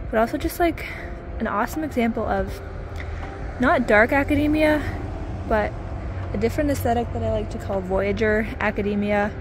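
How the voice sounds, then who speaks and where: There is noticeable background noise as a woman speaks at a fairly quick pace. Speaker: vlogger. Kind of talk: casual vlog chat. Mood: enthusiastic. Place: waterside. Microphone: phone near.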